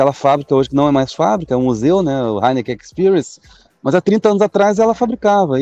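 His tone is dark and mellow, with very wide pitch swings. The man's recording sounds dry and close, without echo. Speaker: brewery owner and business professor. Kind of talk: interview.

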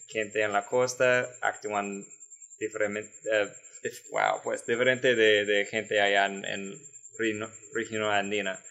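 A man speaks very slowly in a fairly low voice. His intonation is monotone and flat. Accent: American. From San Antonio, Texas. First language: English (speaking Spanish). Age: 20s. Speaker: Peace Corps volunteer. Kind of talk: casual interview. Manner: halting, repeats words.

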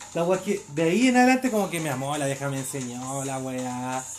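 Delivered at a fairly quick pace, the speech comes in a Chilean accent. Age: 20s. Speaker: podcast host. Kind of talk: casual chat.

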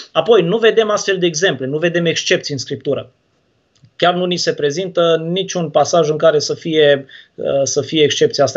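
High pitch for a man, ordinary pitch variation. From Romania, Turda (Transylvania). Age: 20s. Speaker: baptist pastor. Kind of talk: theological debate. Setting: livestream video call.

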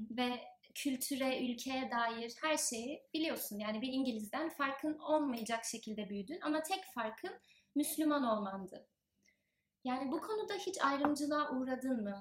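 A high-pitched woman's voice with lively intonation at a fairly slow pace. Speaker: podcast host. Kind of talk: interview. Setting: in person. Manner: formal.

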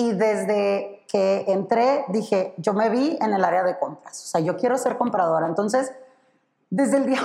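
Her intonation lively, a woman talks in a fairly high pitch. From Sonora, northern Mexico. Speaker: corporate purchasing professional. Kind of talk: casual interview.

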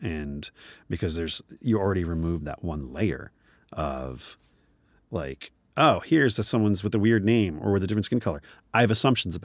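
A man with an American accent and a very deep, low pitch, very wide pitch swings, a fairly quick pace and long, frequent pauses, on a very clean recording with a silent background. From US Northeast (New Jersey). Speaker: advertising creative director. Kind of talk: casual interview.

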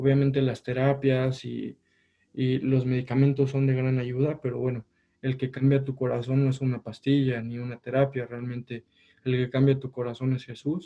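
Monotone, flat intonation marks a man's medium-pitched voice at a moderate pace. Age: 20s. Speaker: engineering student. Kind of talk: casual interview.

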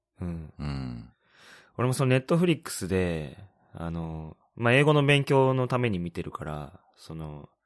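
Pitch swinging very widely, a man talks at a moderate pace. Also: big swings in loudness. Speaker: podcast co-host, expat worker in Shanghai. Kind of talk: casual chat.

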